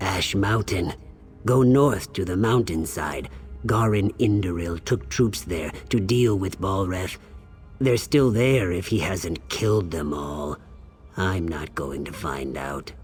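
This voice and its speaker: Over clear background noise, a man uses a put-on character voice with a very deep, low pitch at a fairly slow pace. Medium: video game. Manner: nervous.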